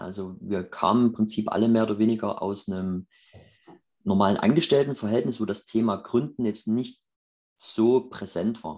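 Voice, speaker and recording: At a moderate pace, the man uses an ordinary speaking voice that is fairly low in pitch, with ordinary pitch variation. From Saxony, Chemnitz (eastern Germany). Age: 30s. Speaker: startup founder. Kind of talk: interview.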